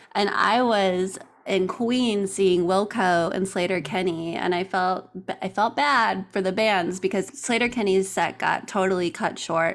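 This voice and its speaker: A woman speaks in a plain, everyday voice at a fairly slow pace, with medium pitch and ordinary pitch variation. Her loudness stays very even, and the recording is very clean with a silent background. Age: 30s. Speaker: podcast producer. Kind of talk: interview, casual chat.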